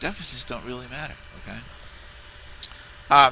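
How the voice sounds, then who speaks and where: A man speaks fairly quickly, with noticeable noise in the background. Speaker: video blogger on monetary reform. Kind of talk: casual video response monologue. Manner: fast and loud; halting, many restarts and fillers.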